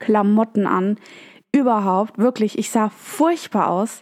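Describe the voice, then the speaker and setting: A woman uses a normal speaking voice at a fairly slow pace, her pitch fairly high. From Germany. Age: 20s. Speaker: podcast host. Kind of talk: storytelling monologue.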